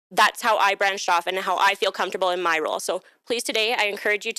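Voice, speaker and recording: A loud woman's voice at medium pitch, bright and sharp in tone, very fast, with a dry, close sound and no echo. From Alberta, Canada (Calgary). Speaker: workshop presenter, HR staff. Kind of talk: workshop presentation. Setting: live-streamed workshop with audience.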